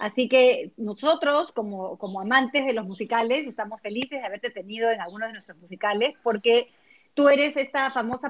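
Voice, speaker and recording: A woman with an unremarkable speaking voice, fairly high pitch, ordinary pitch variation and a fairly quick pace. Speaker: podcast host and vocal coach. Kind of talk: casual chat.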